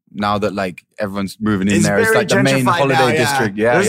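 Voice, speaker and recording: Talking at a very fast pace with lively intonation, a man with a fairly low pitch speaks in an English accent. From England. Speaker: DJ; podcast guest.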